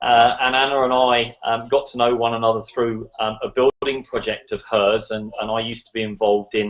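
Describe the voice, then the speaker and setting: A man with an English accent speaks at a medium pitch in a monotone, flat intonation. He goes at a fairly quick pace with hardly any pauses. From England. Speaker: online business promoter. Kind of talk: online video hangout presentation. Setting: video call.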